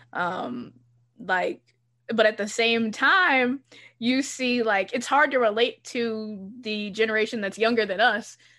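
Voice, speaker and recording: Against a quiet background, a woman with an American accent speaks at a fairly slow pace, her fairly high voice bright and sharp in tone, with ordinary pitch variation. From US South, Charlotte area, North Carolina. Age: 20s. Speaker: podcast host. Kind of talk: casual chat.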